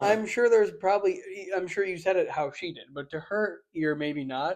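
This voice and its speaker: The speaker talks at a moderate pace with a slight Buffalo accent. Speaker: podcast co-host. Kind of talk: casual chat.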